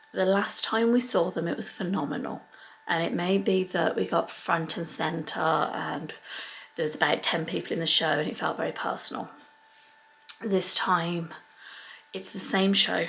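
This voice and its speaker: A soft-spoken woman with a fairly low voice talks at a moderate pace, with ordinary pitch variation. Her long, frequent pauses sit over noticeable background noise. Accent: English. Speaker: family vlogger. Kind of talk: casual vlog to camera. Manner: quiet, talking softly.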